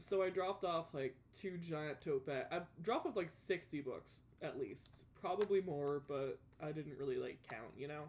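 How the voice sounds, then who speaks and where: The woman's pitch is fairly low, with ordinary variation, and her pace is moderate. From US South, Louisiana. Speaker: gaming streamer. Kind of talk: casual chat. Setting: live stream while gaming.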